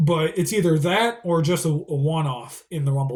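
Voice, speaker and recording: A man speaks at a fairly high pitch with a somewhat breathy quality, at a moderate pace and with ordinary pitch variation. The recording is very clean, with a silent background. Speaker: wrestling fan youtuber. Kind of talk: casual predictions monologue. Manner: halting.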